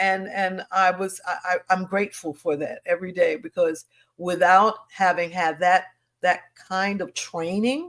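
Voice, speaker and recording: A woman with an ordinary speaking voice and an American accent, medium pitch, ordinary pitch variation, fairly slow pace. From Harlem, New York. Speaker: singer, stage actress. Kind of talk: interview answer.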